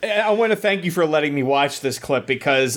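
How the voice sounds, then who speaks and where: A plain, everyday voice at a moderate pace with ordinary pitch variation, in a very clean recording over a silent background. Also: man. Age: 30s. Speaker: podcaster. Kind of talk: casual chat.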